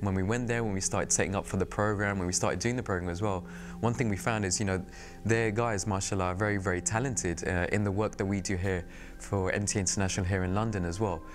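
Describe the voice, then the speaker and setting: With audible room echo, a man with a British accent speaks at a very fast pace with very even loudness, fairly low pitch and ordinary pitch variation. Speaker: TV producer and presenter. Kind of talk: interview reflection. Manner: casual.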